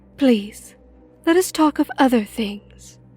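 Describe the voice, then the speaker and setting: Using a put-on character voice, a woman speaks at a fairly slow pace in a high pitch with lively intonation while faint music plays in the background. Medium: audio drama. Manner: formal, courtly.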